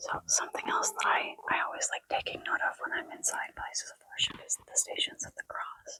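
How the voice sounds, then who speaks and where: Whispering at a fairly quick pace with hardly any pauses, a woman comes through with a dry, close sound with no echo. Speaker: vlogger. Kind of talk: travel vlog. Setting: basilica.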